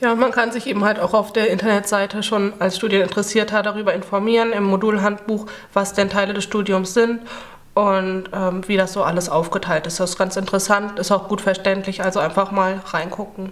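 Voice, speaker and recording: Flat, monotone intonation runs through this woman's speech. Her pace is fairly quick. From western Germany. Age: 20s. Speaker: university student. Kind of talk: casual interview. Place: classroom.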